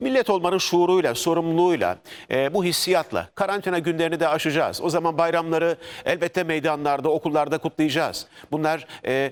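Over a very clean recording with a silent background, a man with a high pitch talks at a fairly quick pace. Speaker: TV news anchor. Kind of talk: live TV news interview.

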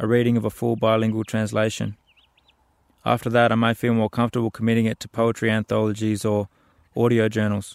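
A man's medium-pitched, monotone, flat delivery at a very fast pace, broken by long, frequent pauses, with a dry, close sound and no echo. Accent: Australian. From Central Australia, Alice Springs. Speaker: playwright and artist. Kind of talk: spoken-word storytelling.

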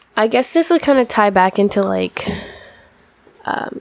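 Speaking with an American accent and lively intonation, a woman keeps a medium pitch and a moderate pace over noticeable background noise. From Washington State, US (Yakima). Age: 20s. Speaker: college wrestler. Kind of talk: interview.

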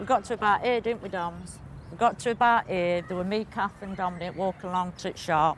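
A woman speaks at a fairly quick pace with a northern English accent. Her pitch is medium, with ordinary variation. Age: 40s. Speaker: alien abductee. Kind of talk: documentary interview.

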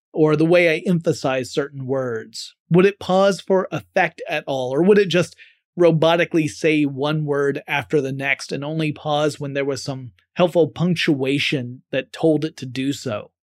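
The speaker has a slight Southern US accent. Recorded very cleanly, there is a silent background. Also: moderate pace. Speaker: podcast host. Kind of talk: solo podcast monologue.

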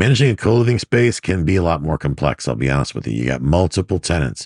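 With an American accent, a man speaks at a fairly quick pace in a very deep, low pitch that swings very widely, the sound dry and close with no echo. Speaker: podcast host, real estate investor. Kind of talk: solo monologue podcast episode. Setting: laptop microphone, home recording. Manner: casual, conversational, somewhat frustrated.

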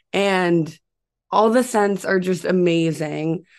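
A woman with an unremarkable speaking voice at medium pitch, ordinary pitch variation and a fairly slow pace, over a quiet background. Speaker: young entrepreneur. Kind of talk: casual interview.

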